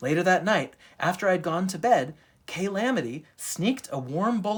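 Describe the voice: A passage is read aloud plainly. Lively intonation carries it.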